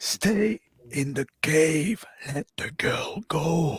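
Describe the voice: A raspy, put-on character voice at a middle pitch and a very slow pace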